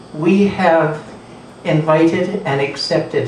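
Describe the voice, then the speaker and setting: Through noticeable background noise and audible room echo, a man speaks at a high pitch with a Canadian accent. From southern Alberta, Canada. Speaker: Métis elder and mentor. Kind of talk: storytelling talk to audience. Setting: coffeehouse event with audience.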